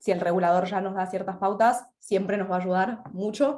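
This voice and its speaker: A woman with an Argentine accent speaks at a very fast pace and medium pitch, with fairly even intonation. Audible room echo is present. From Argentina. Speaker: insurance consultant. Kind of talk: webinar panel discussion.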